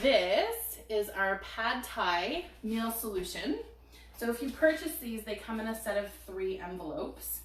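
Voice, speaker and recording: At a fairly slow pace, a woman of medium pitch uses lively intonation amid noticeable background noise and audible room echo. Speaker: cooking product consultant. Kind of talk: product demo on live stream.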